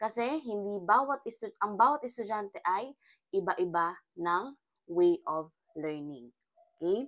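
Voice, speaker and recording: A woman with a medium pitch speaks at a fairly slow pace. The sound is dry and close, with no echo. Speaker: criminology review lecturer. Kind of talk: lecture. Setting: screen recording on iPad, no camera.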